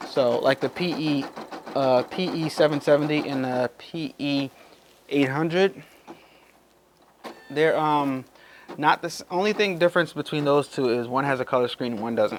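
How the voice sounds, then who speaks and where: Animated in tone, a man speaks at a fairly high pitch with ordinary pitch variation and long, frequent pauses. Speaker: YouTuber demonstrating machine embroidery. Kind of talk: tutorial. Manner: fast; casual, animated.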